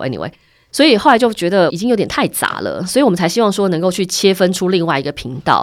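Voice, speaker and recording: Her intonation lively, a woman talks at a very fast pace with a fairly low pitch. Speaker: media director and podcast host. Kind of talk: casual interview.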